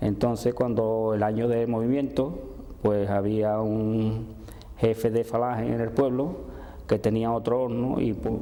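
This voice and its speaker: A man talks at moderate speed, his voice carrying audible room echo amid noticeable background noise. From Andalusia, Seville province. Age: 70s. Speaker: oral history interviewee. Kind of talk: testimony. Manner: halting.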